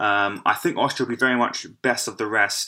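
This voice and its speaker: A man with an English accent and a bright, sharp tone talks at a fairly slow pace in a medium pitch. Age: 20s. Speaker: football podcast host. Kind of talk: solo podcast monologue. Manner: halting.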